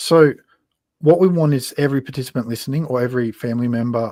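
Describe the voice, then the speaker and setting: Speaking in a rural Queensland accent, a man uses ordinary pitch variation. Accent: rural Queensland Australian. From Australia, western Queensland. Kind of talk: casual interview on live stream. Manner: casual, plain-spoken.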